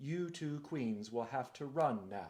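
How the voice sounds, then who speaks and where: Putting on a character voice, a man speaks at a fairly slow pace. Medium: read story. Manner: tender, warm.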